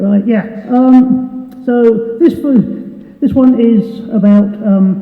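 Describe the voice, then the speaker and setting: Over noticeable background noise and audible room echo, a woman talks very slowly at a fairly high pitch, her loudness very even and her intonation fairly even. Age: 60s. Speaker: singer-songwriter. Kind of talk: stage banter. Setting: stage with audience. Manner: halting.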